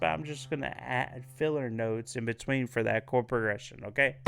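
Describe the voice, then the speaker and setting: A man's voice with ordinary pitch variation over background music. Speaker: piano teacher. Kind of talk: music lesson, casual talk to camera. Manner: slow.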